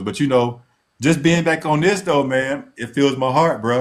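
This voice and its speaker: The recording is very clean, with a silent background. A man with an unremarkable speaking voice talks at a moderate pace and medium pitch, with ordinary pitch variation. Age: 60s. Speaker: podcast co-host. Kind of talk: casual chat.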